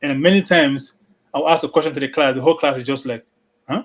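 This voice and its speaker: Very fast speech from a man, ordinary in its pitch variation. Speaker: open mic panelist, part-time trainer. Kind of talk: casual chat.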